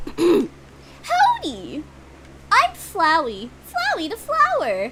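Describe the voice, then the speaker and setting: In a put-on character voice at an extremely high pitch, someone speaks at a very slow pace over loud background noise. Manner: cheery, put-on.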